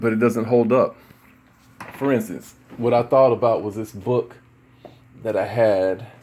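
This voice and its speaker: Noticeable background noise sits behind a man speaking at a medium pitch. His intonation is monotone and flat, broken by long, frequent pauses. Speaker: religious video commentator. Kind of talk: casual monologue discussion. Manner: halting, many fillers.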